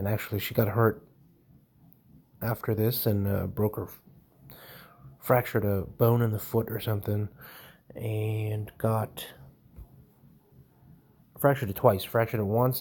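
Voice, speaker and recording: A man talks at a fairly slow pace, his fairly low voice somewhat breathy. His intonation stays monotone and flat, broken by long, frequent pauses. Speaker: home tool reviewer. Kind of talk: casual narration over screen recording. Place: home room.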